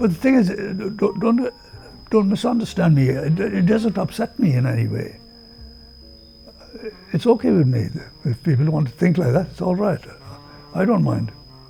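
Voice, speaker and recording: Over music in the background, a man with a high pitch speaks at a moderate pace, his pitch swinging very widely between long, frequent pauses. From India. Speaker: oral history interviewee. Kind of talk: interview answer.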